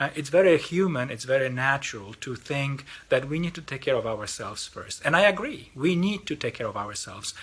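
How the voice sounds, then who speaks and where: Speaking fairly quickly with a Polish accent, a man with a fairly high pitch uses very wide pitch swings and vocal fry. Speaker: lay mission organization representative. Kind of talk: mission appeal talk. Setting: recorded video. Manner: halting, with repetitions.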